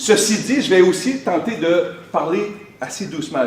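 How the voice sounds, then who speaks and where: With a Quebec accent, a man speaks in an animated tone with lively intonation, amid audible room echo and noticeable background noise. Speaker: motivational speaker. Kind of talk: motivational conference talk. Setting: stage with audience. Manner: trying to speak slowly.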